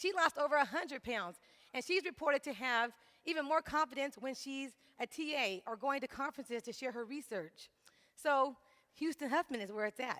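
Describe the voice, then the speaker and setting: A woman speaks in a raised, projected voice, high-pitched with a bright, sharp tone. Her delivery is animated, and her intonation is lively. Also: dry, close sound with no echo. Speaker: graduate student and fitness instructor. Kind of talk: presentation to audience. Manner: fast.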